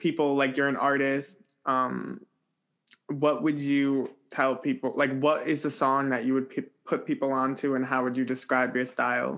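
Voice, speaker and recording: At a fairly slow pace, a man in a plain, everyday voice holds very even loudness in a very clean recording with a silent background. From New Jersey. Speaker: music podcast host. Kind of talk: interview.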